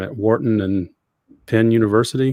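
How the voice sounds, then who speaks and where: A man with a Southern US accent. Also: very clean recording, silent background. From US South, Georgia. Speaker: podcast host. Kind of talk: interview.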